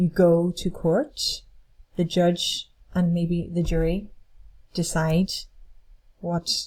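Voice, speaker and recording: Somewhat breathy and dark, mellow in tone, a voice with an Irish accent goes at a very slow pace on a very clean recording with a silent background. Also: woman. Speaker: English teacher. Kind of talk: lecture. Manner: slow, clear.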